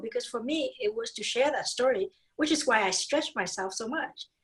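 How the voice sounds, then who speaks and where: Lively in intonation, a woman talks at a fairly quick pace with a Vietnamese accent. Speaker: dentist and speaker. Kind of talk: podcast interview. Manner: animated.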